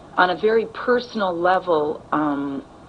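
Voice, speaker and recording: A woman's fairly low voice in an American accent, with ordinary pitch variation and noticeable background noise. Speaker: actress. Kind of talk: interview. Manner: halting.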